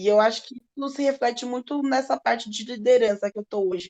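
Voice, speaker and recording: A woman's voice with a dark, mellow tone. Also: dry, close sound with no echo. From Brazil, southern Minas Gerais. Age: 20s. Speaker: chef. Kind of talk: podcast interview.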